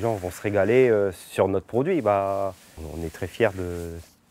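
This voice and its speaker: A man speaks in a fairly low voice with ordinary pitch variation. The recording is very clean, with a silent background. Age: 30s. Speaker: farmer. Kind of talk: interview testimony. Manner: halting, many fillers and restarts.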